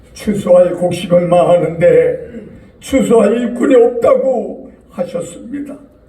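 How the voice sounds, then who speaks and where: Amid noticeable background noise and audible room echo, a man speaks at an extremely high pitch and a very slow pace. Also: ordinary pitch variation. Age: 80s+. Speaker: church elder. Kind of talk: public prayer. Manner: formal.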